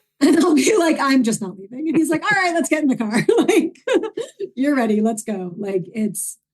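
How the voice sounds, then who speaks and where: A woman with a New York accent and very wide pitch swings. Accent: New York accent, toned down. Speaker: filmmaker. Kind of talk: casual interview chat. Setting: podcast interview. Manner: animated.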